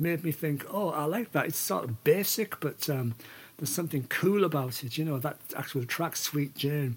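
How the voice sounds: A man with a fairly high pitch and a slightly husky edge, at a moderate pace with ordinary pitch variation.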